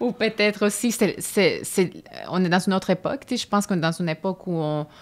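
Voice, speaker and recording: Recorded very cleanly against a silent background, a woman talks very fast. Her medium pitch shows ordinary variation. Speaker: stage actress. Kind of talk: interview conversation.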